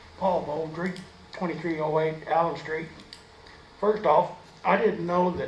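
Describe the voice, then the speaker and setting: A man's fairly high-pitched voice, fairly even in intonation and fairly slow, with audible room echo and noticeable background noise. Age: 50s. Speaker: resident speaking at public hearing. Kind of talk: public comment.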